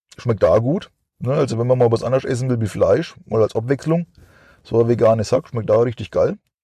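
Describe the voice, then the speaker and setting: A man's dark, mellow, somewhat breathy voice at a fairly quick pace, with a dry, close sound and no echo. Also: medium pitch for a man, ordinary pitch variation. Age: 40s. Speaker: podcast host. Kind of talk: casual monologue. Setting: in a car. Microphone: cheap microphone.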